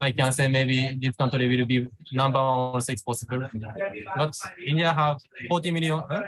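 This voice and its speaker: Over noticeable background noise, a man with a Japanese accent speaks in a medium pitch with fairly even intonation and long, frequent pauses. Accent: Japanese accent, non-fluent English. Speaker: vlogger and entrepreneur. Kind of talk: interview. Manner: halting, searching for words.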